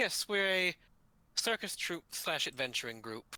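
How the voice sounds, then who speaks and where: A man puts on a character voice, high in pitch with very wide pitch swings. The sound is dry and close with no echo, and the pace is moderate. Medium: actual play.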